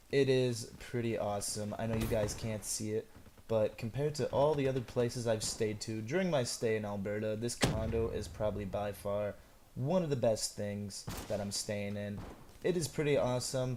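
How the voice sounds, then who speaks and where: Here a man with a non-native accent speaks at a moderate pace, his medium-pitched voice dark and mellow in tone with ordinary pitch variation. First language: not English. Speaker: gaming YouTuber. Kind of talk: gameplay commentary. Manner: casual, chatty.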